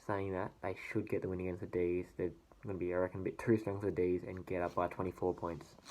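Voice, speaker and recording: The speaker is a man. He has an Australian accent. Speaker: sports vlogger. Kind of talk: casual sports predictions monologue. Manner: hesitant, many fillers.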